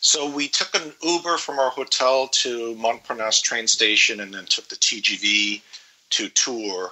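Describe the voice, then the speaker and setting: A man's medium-pitched voice at a fairly slow pace, ordinary pitch variation, and noticeable background noise. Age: 50s. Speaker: traveler guest. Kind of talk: casual interview, trip report.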